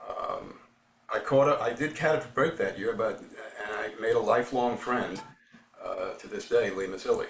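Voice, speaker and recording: With a New York accent, a man talks at a moderate pace with big swings in loudness, amid noticeable background noise and audible room echo. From New York City, the Bronx. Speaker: baseball writer. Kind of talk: interview.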